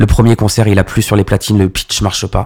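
A man's ordinary speaking voice, fairly low in pitch, with fairly even intonation. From Paris suburbs, Val-d'Oise (95). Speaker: club DJ. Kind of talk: casual interview.

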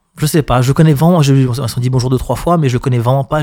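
This man's words come out very fast, in a medium register with ordinary variation in pitch. Behind him the background is silent, and the recording is very clean. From Paris region, France. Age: middle-aged. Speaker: club DJ. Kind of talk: casual interview chat. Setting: studio.

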